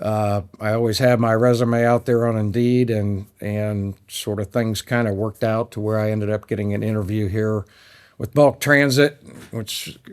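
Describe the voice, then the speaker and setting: A man speaks in a flat monotone at a fairly low pitch, recorded very cleanly against a silent background. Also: moderate pace. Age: 60s. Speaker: sales account manager at a trucking company. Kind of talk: podcast interview. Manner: many fillers and hesitations.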